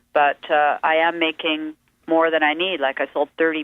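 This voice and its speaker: Her voice sits at a very deep, low pitch. The woman speaks at a moderate pace in a western Canadian accent. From western Canada. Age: 50s. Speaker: musician and painter. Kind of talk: radio interview.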